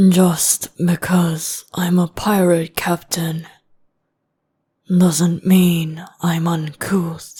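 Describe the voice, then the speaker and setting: In a put-on character voice at a middle pitch, the speaker talks at a very slow pace with monotone, flat intonation. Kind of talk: boyfriend ASMR roleplay. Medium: solo performance. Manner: calm, measured and formal.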